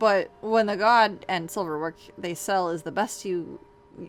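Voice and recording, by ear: With pitch that varies in an ordinary way, this is a natural voice reading aloud.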